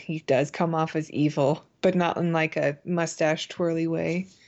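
This woman has a plain, everyday voice with a fairly low pitch. Her intonation stays fairly even. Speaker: podcast co-host. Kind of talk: casual chat reviewing a TV episode.

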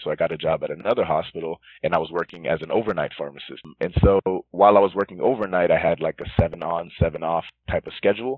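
Music plays in the background. A man talks very fast with an American accent. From Northern Virginia. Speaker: pharmacist. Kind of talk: interview.

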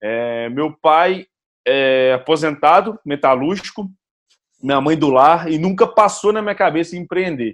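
A man with a normal speaking voice, fairly high pitch and lively intonation, at a fairly slow pace. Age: 20s. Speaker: startup founder and CEO. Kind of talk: casual chat.

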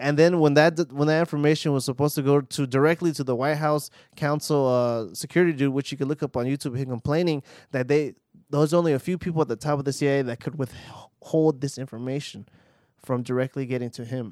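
Dry and close with no echo, the speech comes at a very fast pace in an American accent. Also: man, fairly high pitch for a man. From Los Angeles, US. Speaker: stand-up comedian. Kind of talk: casual chat. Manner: animated.

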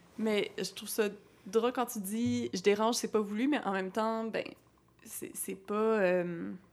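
A woman's fairly high voice at a very slow pace, in a very clean recording with a silent background. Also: fairly even intonation. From Quebec City. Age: 20s. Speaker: podcast host, astrologer. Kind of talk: casual interview.

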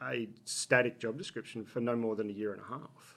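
A man with an Australian accent talks at a fairly quick pace. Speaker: business executive. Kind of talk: interview. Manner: halting.

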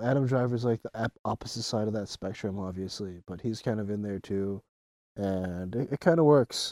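Dark and mellow in tone, a man speaks at a moderate pace with ordinary pitch variation, on a very clean recording with a silent background and a dry, close sound with no echo. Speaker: co-host movie commentator. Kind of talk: casual movie discussion.

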